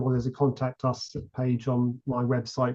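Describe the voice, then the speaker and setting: Here a man talks with a British accent at a medium pitch. His tone is dark and mellow, and somewhat breathy. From UK. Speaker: model ship builder. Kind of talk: podcast interview. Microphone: connection issues.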